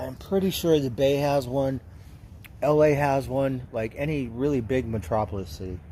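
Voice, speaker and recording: A somewhat breathy man with an American accent speaks at a medium pitch, his tone dark and mellow and his intonation lively. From Southern California. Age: 60s. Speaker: livestreamer. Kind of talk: casual chat. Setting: livestream. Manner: rambling with fillers.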